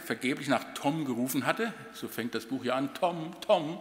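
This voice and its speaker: A man with a German accent, moderate pace and lively intonation. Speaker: outgoing university president. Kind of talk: farewell speech. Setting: reception with audience.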